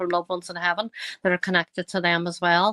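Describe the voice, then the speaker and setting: A woman with a strong Northern Irish accent speaks at a medium pitch in a bright, sharp tone. The sound is dry and close with no echo, on a very clean recording with a silent background. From Northern Ireland, County Tyrone. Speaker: psychic medium. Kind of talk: podcast interview. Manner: hesitant, many fillers.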